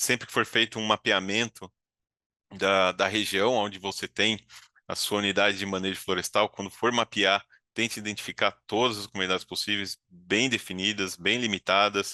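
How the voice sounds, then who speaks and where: Against a quiet background, with a dry, close sound and no echo, a man speaks at a moderate pace in a fairly low, bright, sharp voice with monotone, flat intonation. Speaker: certification consultant. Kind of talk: webinar presentation. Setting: video call.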